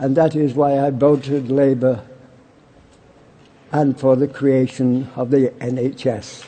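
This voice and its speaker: With a Yorkshire accent, a man of medium pitch speaks very slowly in a monotone, flat way, with long, frequent pauses and noticeable background noise. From Barnsley, England. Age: 80s+. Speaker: war veteran. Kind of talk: political conference speech.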